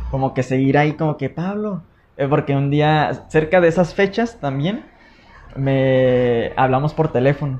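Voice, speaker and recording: The speech moves at a very slow pace with ordinary pitch variation, over noticeable background noise. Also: man. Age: 30s. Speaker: podcast host. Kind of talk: casual chat.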